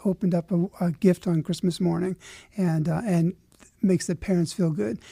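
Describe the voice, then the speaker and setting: A man with a high pitch and a dark, mellow tone talks at a fairly quick pace with ordinary pitch variation, recorded dry and close with no echo on a very clean recording with a silent background. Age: 60s. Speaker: charity officer. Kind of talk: radio interview.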